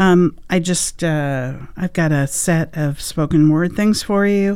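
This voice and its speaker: This woman speaks in a dark, mellow tone at a fairly low pitch with ordinary pitch variation. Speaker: radio host. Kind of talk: live radio hosting, announcements and track back-announcing. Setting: radio studio. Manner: informal, hesitant with frequent 'uh' and 'um'.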